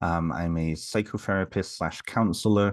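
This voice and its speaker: A man with a British accent at a very deep, low pitch, with fairly even intonation and a quiet background. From England, near Liverpool. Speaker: psychotherapist. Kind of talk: casual chat.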